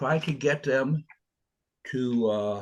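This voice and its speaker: Against a quiet background, a man's somewhat breathy voice carries lively intonation. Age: 70s. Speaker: author. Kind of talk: interview. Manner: halting.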